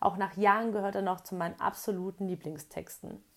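In a very clean recording with a silent background, a woman speaks in an ordinary speaking voice, medium in pitch with fairly even intonation. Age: 30s. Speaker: blogger. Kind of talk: reading aloud. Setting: in a camper van.

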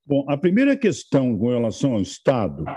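A man with a dark, mellow tone makes very wide pitch swings. The sound is dry and close with no echo, over a quiet background. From Rio Grande do Sul north coast, Brazil. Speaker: federal politician. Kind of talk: interview answers.

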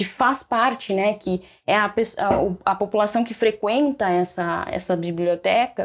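A woman with lively intonation in a very clean recording with a silent background. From Rio Grande do Sul, Brazil. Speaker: librarian and doctoral researcher. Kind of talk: casual podcast interview.

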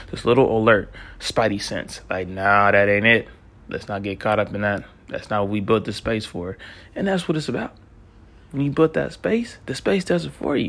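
A man with an ordinary speaking voice, fairly low pitch, lively intonation and a moderate pace. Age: 30s. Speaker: self-help podcast host. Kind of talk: motivational monologue. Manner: casual, conversational.

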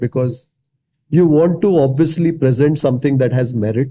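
There is a dark, mellow tone to this man's fairly high pitch. His pitch variation is ordinary. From Mumbai, India. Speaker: food blogger and YouTuber. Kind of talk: interview conversation.

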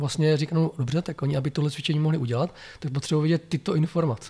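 A man's fairly high voice with a dark, mellow tone at a very fast pace, fairly even intonation, and a very clean recording with a silent background. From Czechia, Blansko (South Moravia). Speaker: software testing trainer and consultant. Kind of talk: interview. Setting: in person.

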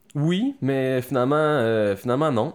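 Recorded very cleanly against a silent background, a man with a plain, everyday voice speaks at a fairly slow pace with ordinary pitch variation. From Quebec City. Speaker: actor and army veteran. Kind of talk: casual interview.

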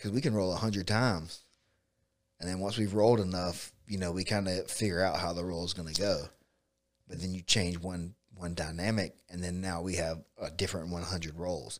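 This man has a very deep, low pitch and a Southern US accent, speaking at a moderate pace with fairly even intonation. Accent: Southern US (Georgia). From US South, south Georgia (Bainbridge). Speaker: jiu-jitsu coach and gym owner. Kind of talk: casual chat. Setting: studio.

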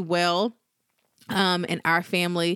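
A woman's voice, dry and close with no echo, on a very clean recording with a silent background. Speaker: podcast host and small business owner. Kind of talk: solo podcast monologue. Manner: fast.

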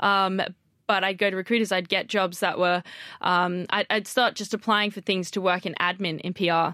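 A woman with an Australian accent speaks at a moderate pace and medium pitch, her tone bright and sharp. Her intonation stays flat and monotone against a quiet background. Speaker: PR professional. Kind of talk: casual chat. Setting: studio.

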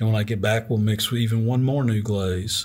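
A man talks with fairly even intonation at medium pitch, his voice somewhat breathy. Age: 60s. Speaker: ceramic artist. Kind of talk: casual interview.

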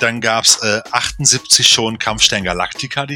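The speaker is a man with a medium-pitched voice. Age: 40s. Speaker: film podcast co-host. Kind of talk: casual chat. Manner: animated.

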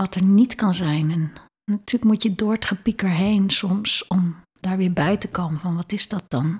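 This woman's voice is somewhat breathy, at a medium pitch with ordinary pitch variation. Her moderate-paced speech has a dry, close sound with no echo. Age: 60s. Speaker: leadership consultant and lecturer. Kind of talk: interview conversation.

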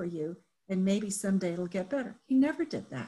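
The woman's voice is somewhat breathy. It sits at a medium pitch. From Japan. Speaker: business owner and leadership consultant. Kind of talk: interview storytelling.

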